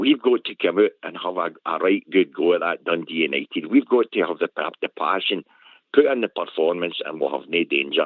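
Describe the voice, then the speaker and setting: A man talks in a Glasgow accent. His pace is fairly quick. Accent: Scottish (Glasgow). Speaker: caller. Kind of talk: phone-in chat.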